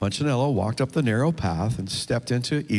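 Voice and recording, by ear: Ordinary pitch variation in reading aloud in a natural voice.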